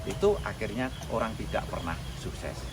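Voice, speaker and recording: Noticeable background noise behind a male speaker. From Central Java, Klaten. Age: 60s. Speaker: village tourism founder. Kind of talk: interview.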